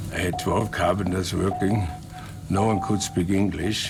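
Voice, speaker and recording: With music in the background and audible room echo, a man speaks at a moderate pace in a very deep, low voice. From Austria. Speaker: retired ski resort pioneer. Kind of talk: interview testimony.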